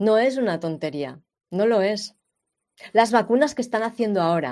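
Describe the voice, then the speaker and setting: An animated voice speaks at a fairly slow pace on a very clean recording with a silent background. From Spain, Catalonia. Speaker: health podcast host. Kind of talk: monologue commentary.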